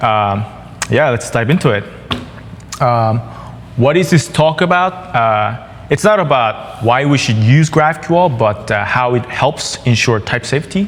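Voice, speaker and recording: Against noticeable background noise, a speaker with a Korean accent talks at a fairly slow pace with lively intonation and long, frequent pauses. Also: man, medium pitch for a man. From South Korea. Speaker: software developer. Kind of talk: conference tech talk. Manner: halting, many fillers.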